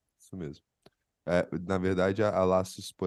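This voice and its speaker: Against a quiet background, a man talks in a very deep, low-pitched voice. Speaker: psychologist podcast co-host. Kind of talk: casual chat.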